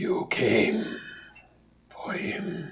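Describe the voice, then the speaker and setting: A man puts on a raspy character voice. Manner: menacing.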